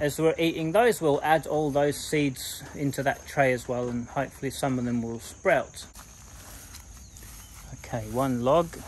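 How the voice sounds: Medium pitch and fairly even intonation from a man. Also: fairly slow pace.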